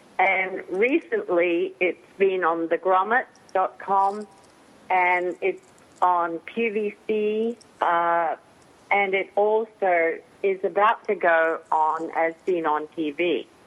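A woman talks at a very slow pace and a medium pitch, with fairly even intonation and very even loudness. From Australia. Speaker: inventor. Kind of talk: interview.

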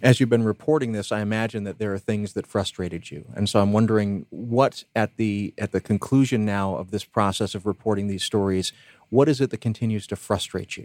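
With a normal speaking voice, a man talks at a fairly quick pace and fairly low pitch, with ordinary pitch variation, hardly any pauses and a dry, close sound with no echo. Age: 40s. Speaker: radio host. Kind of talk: interview.

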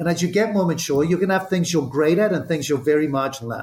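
A man speaks with a Zimbabwean accent at a high pitch. His pitch varies in an ordinary way. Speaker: entrepreneur and former CEO. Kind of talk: interview.

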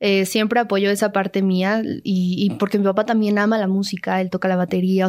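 A woman talks at a fairly quick pace with a medium pitch. Her intonation is monotone and flat. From Mexico City. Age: 20s. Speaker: actress and singer. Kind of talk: interview. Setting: radio studio.

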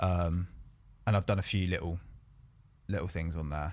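Recorded very cleanly against a silent background, a man with a southern English accent speaks at a moderate pace in a very deep, low pitch with fairly even intonation. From southern England, Bournemouth. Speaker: painter. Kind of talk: casual chat. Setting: studio.

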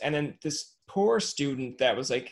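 This man's voice sits at a medium pitch and moves with lively intonation. He speaks at a fairly slow pace.

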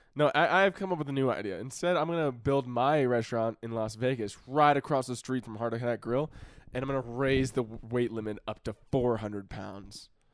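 The recording is very clean, with a silent background. A man with an unremarkable speaking voice and medium pitch speaks at a fairly quick pace, with ordinary pitch variation. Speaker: podcast co-host. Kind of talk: casual chat. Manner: joking, playful.

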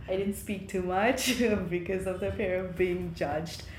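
Speaking at a medium pitch, a woman is heard with audible echo from the room. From eastern Nepal, Ilam. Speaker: nurse and graduate student. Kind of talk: interview.

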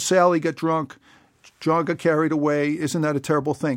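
In a very clean recording with a silent background, a man with an American accent talks at a fairly quick pace in a fairly high pitch, an unremarkable speaking voice. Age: 50s. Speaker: political candidate. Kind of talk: interview. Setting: studio.

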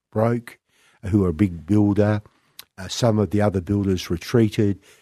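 Here is a man with a fairly low voice. His intonation is flat and monotone. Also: quiet background. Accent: Australian. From Western Australia, country town. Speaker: property developer. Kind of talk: interview. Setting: radio studio.

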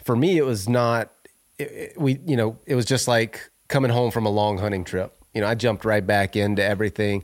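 A man with an unremarkable speaking voice speaks at medium pitch and a moderate pace with ordinary pitch variation, in a very clean recording with a silent background. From US South, Northwest Florida. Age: 40s. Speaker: reality TV winner, outdoorsman and bow builder. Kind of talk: casual interview. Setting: in person, at guest's home.

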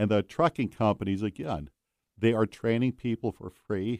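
A man with a plain, everyday voice speaks at a moderate pace with fairly low pitch and ordinary pitch variation. The sound is dry and close with no echo, on a very clean recording with a silent background. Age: 60s. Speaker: truck driver and road travel correspondent. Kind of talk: radio interview. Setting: studio.

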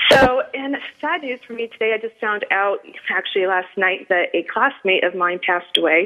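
Speaking with an American accent, a woman has a fairly high pitch and ordinary pitch variation. Her pace is moderate. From New England. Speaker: radio show host. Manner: animated, chatty.

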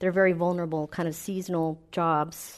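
Over a quiet background, a woman speaks at a moderate pace. Her pitch is fairly low and her intonation monotone and flat. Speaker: public health professor. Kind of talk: panel discussion before a live audience. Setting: stage with audience.

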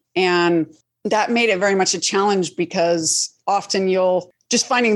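A woman speaks in a plain, everyday voice with an American accent and medium pitch. Her pace is moderate and her intonation fairly even. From Colorado Springs, US. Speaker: actress and writer-producer. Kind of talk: interview chat.

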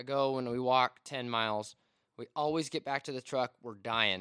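With an American accent and a plain, everyday voice, a man speaks at a medium pitch and moderate pace with fairly even intonation, in a dry, close sound with no echo. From Washington State. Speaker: outdoor photographer. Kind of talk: casual chat.

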